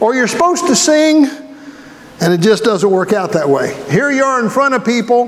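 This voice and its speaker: A man with an extremely high voice and very wide pitch swings speaks at a moderate pace and very even loudness, with audible room echo and noticeable background noise. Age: 60s. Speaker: pastor. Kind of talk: sermon. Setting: church. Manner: conversational, folksy.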